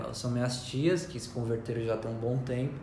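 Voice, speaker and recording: A medium-pitched man at a fairly quick pace, with audible room echo and noticeable background noise. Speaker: church member and artist. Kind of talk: testimony. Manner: quiet, soft-spoken.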